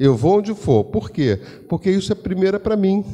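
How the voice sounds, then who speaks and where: Male voice pitched high, dark and mellow, with lively intonation. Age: 70s. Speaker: spiritist lecturer. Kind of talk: religious lecture. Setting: spiritist center with audience. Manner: conversational.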